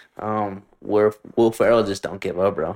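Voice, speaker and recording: A man talks at a fairly slow pace. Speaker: podcast host. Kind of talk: casual chat. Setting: in person, shared mics. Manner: casual, profane.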